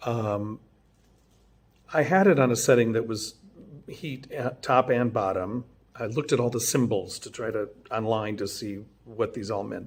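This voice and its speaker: A quiet man speaks at a moderate pace with long, frequent pauses and big swings in loudness. His medium pitch has ordinary variation. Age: 50s. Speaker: vlogger. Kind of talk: casual video diary. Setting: at home late at night. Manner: quiet, keeping voice down; halting, many fillers.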